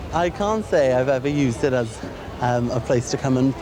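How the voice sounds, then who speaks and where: A man with a Welsh accent speaks at a moderate pace in a medium pitch, with noticeable background noise and audible room echo. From Wales. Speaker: documentary participant. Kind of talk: casual chat.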